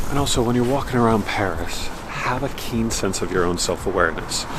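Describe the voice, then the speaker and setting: A man with an American accent speaks at a fairly quick pace and fairly low pitch, with ordinary pitch variation. Audible room echo and noticeable background noise surround him. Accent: American, slightly nasal. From United States. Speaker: travel vlogger. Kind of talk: casual vlog tips. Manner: casual.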